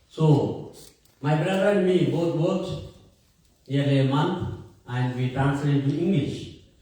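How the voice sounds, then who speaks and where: Audible room echo carries speech delivered at a moderate pace. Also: man. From India. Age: 60s. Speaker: priest and theology professor. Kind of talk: talk to an audience.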